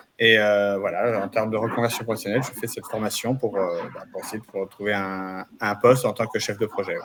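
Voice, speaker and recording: A man's fairly low voice at a fairly quick pace, with hardly any pauses, monotone, flat intonation and noticeable background noise. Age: 50s. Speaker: trainee. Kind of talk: self-introduction.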